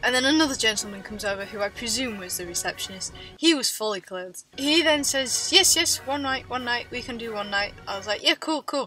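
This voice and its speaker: With an English accent, a woman speaks fairly quickly in a high pitch and lively intonation while music plays in the background. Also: big swings in loudness. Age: 20s. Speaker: travel vlogger. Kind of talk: story time to camera. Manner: high pitched when embarrassed.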